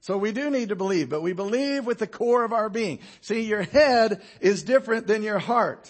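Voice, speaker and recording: A man's animated, high voice with ordinary pitch variation, a moderate pace and hardly any pauses. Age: 50s. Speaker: pastor. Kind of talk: sermon. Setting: church.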